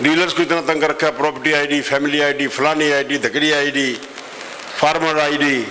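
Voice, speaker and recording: Amid noticeable background noise and audible room echo, a man with a fairly high pitch speaks in a monotone, flat intonation at a very even loudness. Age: 70s. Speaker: politician. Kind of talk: campaign speech. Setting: stage at a traders' meeting. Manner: forceful.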